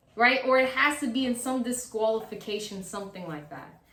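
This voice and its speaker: Audible room echo surrounds a woman speaking at a high pitch. Her tone is animated and her pace moderate. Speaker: wrestling YouTuber. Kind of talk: casual commentary monologue.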